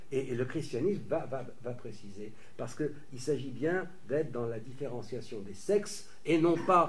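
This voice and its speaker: A man talks at a fairly slow pace with lively intonation. His voice is somewhat breathy. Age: 60s. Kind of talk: lecture. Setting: conference with audience. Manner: halting, many repetitions.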